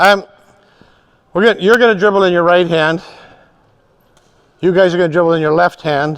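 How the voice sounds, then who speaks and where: Very fast and animated, a man speaks at a high pitch. His pitch variation is ordinary. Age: 70s. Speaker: fitness and balance instructor. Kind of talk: live group exercise class instruction. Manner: animated, encouraging.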